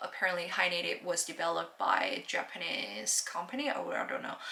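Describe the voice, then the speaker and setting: A woman's moderately paced speech comes with noticeable background noise. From South Korea. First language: Korean. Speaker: language learning vlogger. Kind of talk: casual vlog talk. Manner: halting, many fillers and restarts; stutters.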